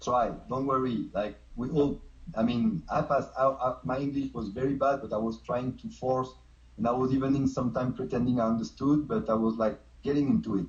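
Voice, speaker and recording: Somewhat breathy, a man speaks at a fairly quick pace with a medium pitch and ordinary pitch variation. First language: not English. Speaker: street dancer. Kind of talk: casual chat.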